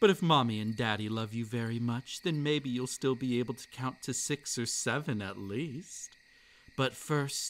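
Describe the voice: The delivery is plain reading aloud. Pitch moves in an ordinary way.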